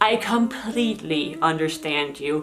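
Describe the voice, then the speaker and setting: With a Danish accent and an animated tone, a woman lets her pitch swing very widely. The room echo is audible, and background noise is noticeable. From Denmark. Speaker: YouTuber. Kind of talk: casual Q&A vlog.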